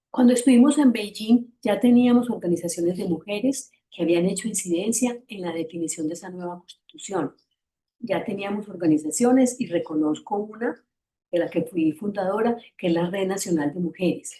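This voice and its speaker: A woman's medium-pitched voice with lively intonation, big swings in loudness and a moderate pace. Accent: Antioquian Colombian. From Antioquia, Colombia. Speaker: feminist activist, panelist. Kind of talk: panel presentation. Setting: online seminar.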